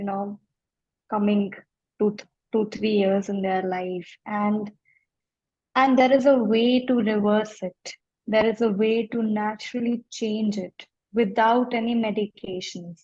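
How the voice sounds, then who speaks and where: Somewhat breathy and fairly slow, a woman talks with fairly even intonation and long, frequent pauses. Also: fairly high pitch for a woman. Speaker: life coach. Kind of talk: interview.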